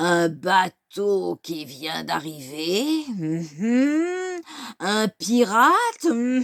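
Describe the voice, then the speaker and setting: Using a put-on character voice, a woman speaks at a very slow pace at a medium pitch with very wide pitch swings. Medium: read story. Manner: gloating, menacing.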